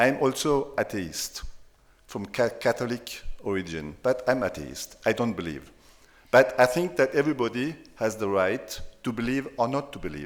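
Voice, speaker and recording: The speaker has a German accent and vocal fry. The pace is moderate and the intonation lively. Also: man, medium pitch for a man. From France. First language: German dialect. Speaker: sociologist, professor. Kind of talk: panel discussion. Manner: halting.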